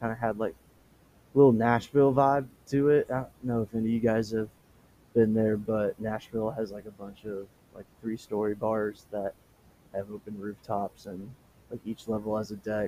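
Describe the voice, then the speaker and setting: A man speaks in a fairly low, dark, mellow voice at a moderate pace, monotone and flat. His loudness swings widely, and his pauses are long and frequent. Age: 20s. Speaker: podcast host. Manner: halting, many fillers.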